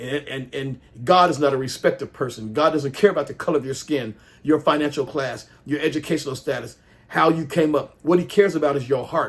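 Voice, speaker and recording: A man's animated voice, fairly high in pitch and somewhat breathy, at a fairly quick pace with ordinary pitch variation. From US South, Jackson, Mississippi. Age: 60s. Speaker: pastor and political commentator. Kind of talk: opinion rant to camera. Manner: animated, repetitive and halting.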